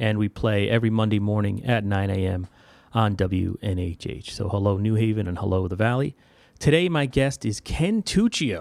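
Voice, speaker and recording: A man with an ordinary speaking voice and a fairly low pitch talks at a moderate pace with ordinary pitch variation, in a dry, close sound with no echo. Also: very clean recording, silent background. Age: 40s. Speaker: radio and podcast host, local journalist. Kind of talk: interview chat. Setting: radio studio.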